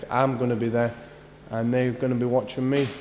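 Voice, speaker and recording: A fairly quick man's voice with a Scottish accent, over light background noise. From Scotland. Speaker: professional boxer. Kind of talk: interview answer. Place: gym.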